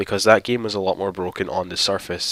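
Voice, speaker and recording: Against noticeable background noise, a man talks at a fairly quick pace with a fairly low pitch and fairly even intonation. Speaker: gaming YouTuber. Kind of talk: let's play gameplay commentary. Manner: casual, explanatory.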